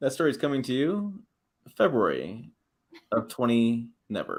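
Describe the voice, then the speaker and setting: With a Midwestern accent, a man speaks at a medium pitch with very wide pitch swings and long, frequent pauses. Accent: Midwest. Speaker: automotive YouTube host. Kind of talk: casual livestream chat. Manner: fast, words run together.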